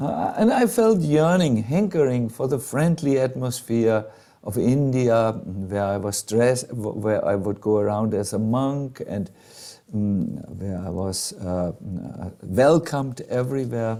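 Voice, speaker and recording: A man's dark, mellow voice at medium pitch, with a slight German accent, lively intonation and a fairly slow pace. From Germany. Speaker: monk and spiritual teacher. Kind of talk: storytelling talk to a live group. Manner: hesitant, many fillers.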